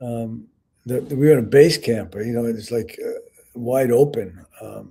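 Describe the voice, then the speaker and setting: A man with an American accent talks at a fairly slow pace and medium pitch, his tone dark, mellow and somewhat breathy. His intonation stays fairly even while his loudness swings widely. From New York City. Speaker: Vietnam veteran and author. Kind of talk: interview. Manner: halting.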